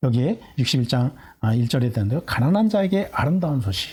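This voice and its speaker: The pitch swings very widely and the pace is very fast. The voice is somewhat breathy. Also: man. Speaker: pastor. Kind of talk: sermon. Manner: halting, many fillers.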